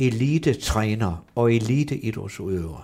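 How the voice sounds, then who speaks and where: On a very clean recording with a silent background, a man speaks very slowly with medium pitch, a dark, mellow tone and lively intonation. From northern Jutland, Brønderslev. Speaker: football coach. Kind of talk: interview. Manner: halting, many fillers and repetitions.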